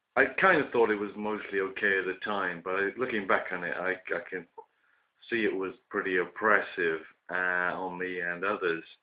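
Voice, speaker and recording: The speaker has a British accent and a moderate pace. Intonation stays fairly even. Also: man, very deep, low pitch for a man. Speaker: vlogger. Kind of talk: casual monologue. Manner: hesitant, many fillers.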